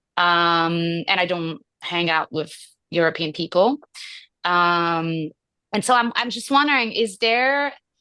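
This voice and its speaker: A woman with a non-native accent speaks at a fairly slow pace in a fairly low pitch, her tone bright and sharp and her intonation lively. She leaves long, frequent pauses, and the background is quiet. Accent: foreign accent, noticeable. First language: French. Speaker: actor. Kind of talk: audience question. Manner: hesitant.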